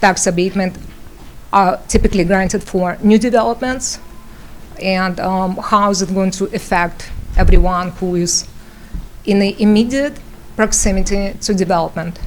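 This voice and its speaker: A woman with a non-native accent, medium pitch and fairly even intonation, at a moderate pace with long, frequent pauses. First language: not English. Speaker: local resident at public hearing. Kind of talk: public comment at municipal hearing. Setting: township meeting room, microphone. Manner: halting, many fillers.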